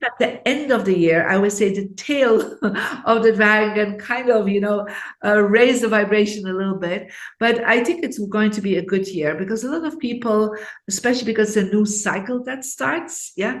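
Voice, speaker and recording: Audible room echo surrounds this voice, which moves at a moderate pace with ordinary pitch variation. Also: woman, fairly high pitch for a woman. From Belgium. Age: 60s. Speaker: feng shui expert. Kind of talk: interview.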